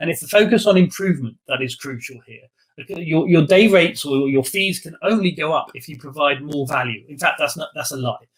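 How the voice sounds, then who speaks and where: A man talks fairly quickly in a fairly high pitch, his intonation lively and his loudness swinging widely. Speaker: professor and consulting advisor. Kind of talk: presentation to audience. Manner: fast; hesitant, many fillers.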